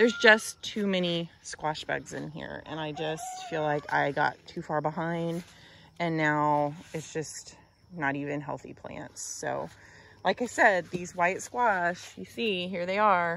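In an unremarkable speaking voice, a woman talks at a fairly low pitch and a fairly slow pace with ordinary pitch variation, in a dry sound with no echo and light background noise. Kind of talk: casual vlog chat. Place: garden. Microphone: phone near.

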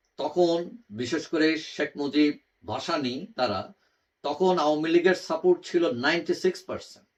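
With ordinary variation in his pitch, a man talks in a fairly high register. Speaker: political commentator YouTuber. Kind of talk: opinion monologue. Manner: halting, many pauses.

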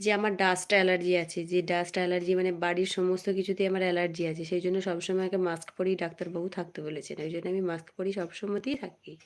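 A woman talks at medium pitch with flat, monotone intonation. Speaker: YouTuber. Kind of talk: live stream chat with viewers.

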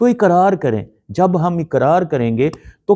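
A man speaks in a high voice with very wide pitch swings and a dark, mellow tone, recorded dry and close with no echo over a quiet background. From Pakistan, Lahore. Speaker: pastor. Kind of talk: prayer; sermon.

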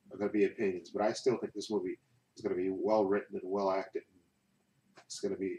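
There is light background noise. A man talks at a very fast pace. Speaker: movie collector vlogger. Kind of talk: casual vlog chat. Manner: relaxed talk while lying in bed. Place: home room.

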